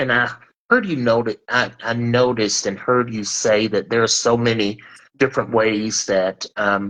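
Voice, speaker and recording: A man speaks at a fairly slow pace in a medium pitch. His intonation stays fairly even. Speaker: talk show host. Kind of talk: live-streamed interview discussion. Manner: loud.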